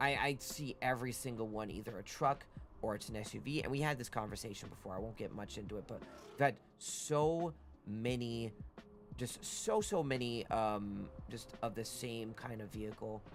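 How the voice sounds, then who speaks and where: A man's medium-pitched voice at a moderate pace, ordinary pitch variation, and music in the background. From Canada, Toronto area. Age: 30s. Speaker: streamer. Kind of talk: casual chat. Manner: halting.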